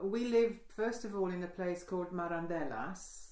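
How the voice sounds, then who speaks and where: In a room with audible echo, a woman with a medium pitch and a dark, mellow tone talks at a moderate pace with ordinary pitch variation. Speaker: oral history interviewee. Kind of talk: oral history interview. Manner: halting.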